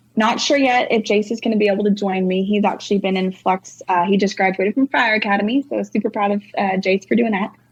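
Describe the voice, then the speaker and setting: A woman with a Texan accent speaks at a very fast pace with hardly any pauses. Her medium-pitched voice is somewhat breathy, with very even loudness. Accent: Texan US Southern. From North Texas. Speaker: singer-songwriter. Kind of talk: casual interview chat. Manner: animated.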